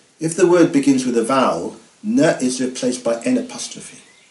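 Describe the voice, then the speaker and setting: With lively intonation, a man talks at a moderate pace as noticeable background noise carries on. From Guernsey. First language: Guernésiais. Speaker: language teacher. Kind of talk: language lesson narration.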